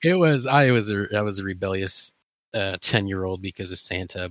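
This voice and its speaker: With an American accent and an unremarkable speaking voice, a man talks at a moderate pace and fairly low pitch with ordinary pitch variation, in a very clean recording with a silent background and a dry, close sound with no echo. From Ohio, near Cleveland. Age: 30s. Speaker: podcast co-host. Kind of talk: casual chat.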